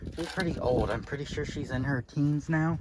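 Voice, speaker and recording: Noticeable background noise surrounds a man with a fairly high pitch and a slight Southern US accent. He speaks at a moderate pace with ordinary pitch variation. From Florida, US South. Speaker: vlogger. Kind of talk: casual vlog while walking outdoors. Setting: outdoors.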